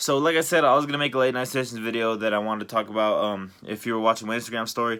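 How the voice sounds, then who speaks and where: A man speaks at a very fast pace with hardly any pauses. His medium-pitched voice has a bright, sharp tone and ordinary pitch variation. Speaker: YouTuber vlogger. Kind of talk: personal late-night monologue. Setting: late at night. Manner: hesitant, many fillers.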